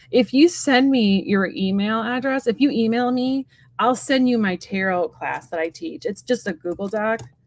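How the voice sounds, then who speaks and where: Here a woman with a fairly high pitch uses lively intonation. She keeps a moderate pace. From US Midwest, south suburbs of Chicago. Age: 40s. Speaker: tarot reader. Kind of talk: casual chat. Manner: halting, many fillers.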